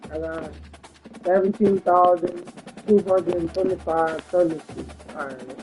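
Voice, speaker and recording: Fairly slow speech with long, frequent pauses over music in the background. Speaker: gaming streamer. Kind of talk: live game stream chat.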